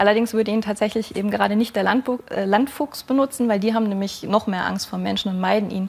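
A woman talks at a very fast pace. Her intonation stays fairly even. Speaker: wildlife biologist; talk show guest. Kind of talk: TV talk show. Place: studio.

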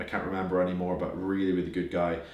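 Very deep, low pitch from a man, with audible room echo. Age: 20s. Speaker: business owner giving finance advice; finance YouTuber. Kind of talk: casual, occasional swearing. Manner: fast talker. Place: home room.

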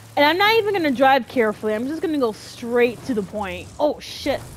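Against noticeable background noise, a high-pitched woman speaks in an animated tone at a moderate pace, her pitch swinging very widely. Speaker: gaming youtuber. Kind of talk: gameplay commentary, angry ranting. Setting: home recording, solo playing video game. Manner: animated, loud, cursing and frustrated; excitable, exasperated.

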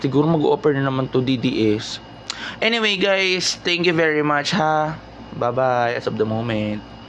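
Over noticeable background noise, a man talks at a fairly slow pace in a fairly high pitch, his intonation lively. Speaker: vlogger reacting to news. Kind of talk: casual commentary. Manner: animated.

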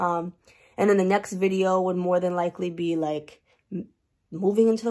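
A woman at a moderate pace against a quiet background. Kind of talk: casual vlog chat. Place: office. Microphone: webcam.

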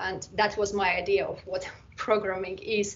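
This is a woman speaking. Her pace is moderate. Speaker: presenter. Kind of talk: conference-style talk. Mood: warm, amused.

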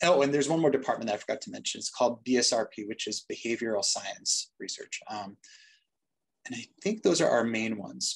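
A man with an American accent talks at a fairly quick pace. His loudness swings widely. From Boston, US. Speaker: doctor and medical research director. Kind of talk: webinar panel discussion. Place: office. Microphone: video call.

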